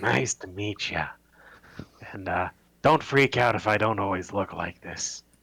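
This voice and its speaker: A raspy, put-on character voice from a man, fairly low in pitch, at a moderate pace with long, frequent pauses. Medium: actual play.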